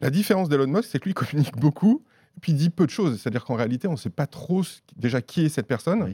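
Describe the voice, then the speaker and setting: On a very clean recording with a silent background and a dry, close sound with no echo, a man with a fairly high pitch and a dark, mellow tone speaks at a very fast pace, somewhat breathy, with very wide pitch swings. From Auvergne, France. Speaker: journalist. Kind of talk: casual chat.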